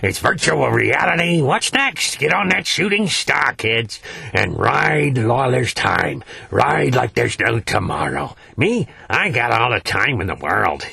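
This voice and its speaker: A man's raspy, put-on character voice at a medium pitch and a moderate pace, with light background noise. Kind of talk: interview answer. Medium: puppet. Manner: folksy, rambling, hesitant.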